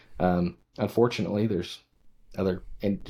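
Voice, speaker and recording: The voice has a dark, mellow tone and an American accent. Its pace is moderate. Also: man. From western Nebraska. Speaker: podcast host. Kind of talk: casual chat.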